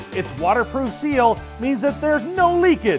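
With clear music playing in the background, a man talks at a moderate pace. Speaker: infomercial host. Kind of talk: TV infomercial product demo. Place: studio.

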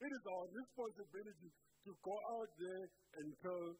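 Over light background noise, a man speaks with lively intonation. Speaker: preacher. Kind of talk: sermon. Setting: church. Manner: earnest, rhetorical preaching, pressing questions and commands to the congregation. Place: church. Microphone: handheld.

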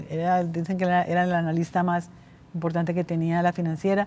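A woman talks at a fairly quick pace in a dark, mellow tone. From Colombia. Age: 70s. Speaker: bank founder; interview guest. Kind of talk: interview. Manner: halting. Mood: reflective, candid. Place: hall.

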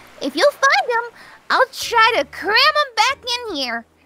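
A woman uses a put-on character voice at an extremely high pitch with big pitch swings. Her tone is bright and sharp, and her pace is fairly slow.

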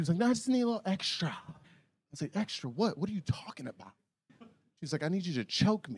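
A man's animated, very fast delivery at a high pitch, with very wide pitch swings and long, frequent pauses. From US South, Atlanta, Georgia. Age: 30s. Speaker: stand-up comedian. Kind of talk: raunchy stand-up comedy set before a live club crowd. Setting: comedy club stage with audience. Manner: loose, animated storytelling punctuated by his own laughter; exaggerated shrieks and mock voices when acting out women. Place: stage. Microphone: handheld.

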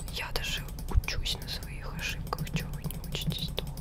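A soft-spoken woman whispering at a fairly slow pace, against loud background noise. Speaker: ASMR streamer. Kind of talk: soft gaming commentary. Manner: soft ASMR whisper close to mic. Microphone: studio mic.

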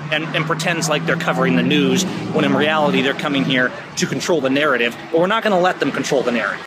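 A man races along at a very fast pace with hardly any pauses. Loud background noise surrounds his dry sound with no echo. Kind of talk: casual vlog chat. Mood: indignant, earnest. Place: street. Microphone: phone near.

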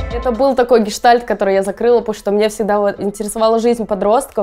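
A woman's fairly high-pitched voice with a dark, mellow tone and fairly even intonation. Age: 20s. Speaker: electronic musician. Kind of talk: interview. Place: studio. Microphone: lapel.

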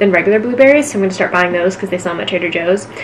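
Background noise is noticeable. The speaker is a woman. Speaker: lifestyle vlogger. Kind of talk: casual vlog chat. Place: home room. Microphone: camera far.

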